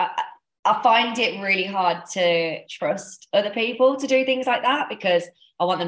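At a moderate pace, a woman talks in a plain, everyday voice. Her pitch variation is ordinary. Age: 30s. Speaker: Irish dance coach and podcast host. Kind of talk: casual chat.

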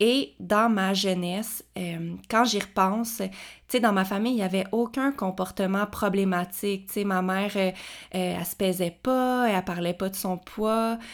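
A woman speaks at a fairly slow pace in a Quebec accent, her pitch medium and her intonation fairly even, on a very clean recording with a silent background. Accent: Québécois French. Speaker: kinesiologist podcast host. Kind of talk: personal testimony. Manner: hesitant, unedited with pauses.

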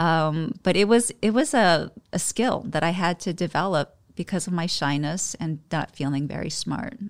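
An ordinary speaking voice at a moderate pace, lively in intonation, on a very clean recording with a silent background. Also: woman, fairly low pitch for a woman. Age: 40s. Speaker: state politician. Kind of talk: interview conversation.

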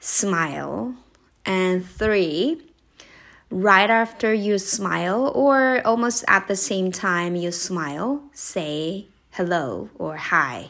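Very slowly, a woman speaks at a medium pitch in a Japanese accent. Her intonation is lively on a very clean recording with a silent background. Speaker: podcast host, English coach. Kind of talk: casual solo podcast talk. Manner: conversational, with fillers.

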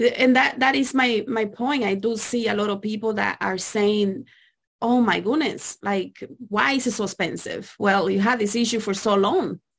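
At a moderate pace, a woman speaks with vocal fry and ordinary pitch variation. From Dominican Republic. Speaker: podcast host and spirit releasement practitioner. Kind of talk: casual chat.

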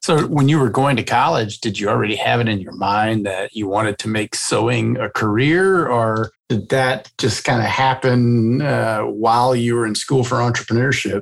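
This man uses a normal speaking voice at a medium pitch with ordinary pitch variation. He keeps a moderate pace with hardly any pauses. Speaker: podcast host. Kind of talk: casual interview.

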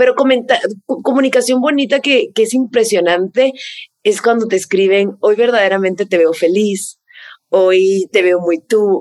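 A woman's medium-pitched voice moves fairly slowly, its pitch rising and falling in an ordinary way. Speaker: content creator and skincare influencer. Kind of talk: casual interview.

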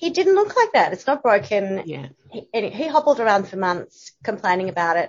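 This woman has an Australian accent and a medium pitch. She speaks at a moderate pace with very wide pitch swings. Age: 50s. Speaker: journalist and content writer. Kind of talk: casual interview chat.

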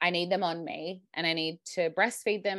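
An Australian accent marks this woman's fairly low voice, with fairly even intonation. The background is quiet. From Australia, Sydney. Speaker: mother sharing birth story. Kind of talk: interview storytelling. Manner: casual, hesitant with many fillers.

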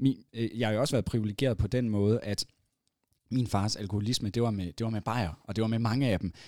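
The man's dark, mellow tone sits at a medium pitch, delivered at a fairly quick pace with fairly even intonation. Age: 30s. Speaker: entrepreneur and event organiser. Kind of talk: casual chat. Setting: studio. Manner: halting.

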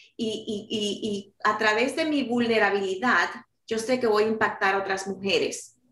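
Audible room echo surrounds a woman's voice. She talks at a moderate pace and fairly high pitch. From New York City, Dominican-born. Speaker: author and life coach. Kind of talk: interview.

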